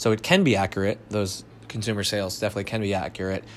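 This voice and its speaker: A man's fairly low voice, monotone and flat in intonation. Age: 30s. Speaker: CrossFit coach and gym owner. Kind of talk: solo podcast monologue. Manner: frequent filler words (um, uh).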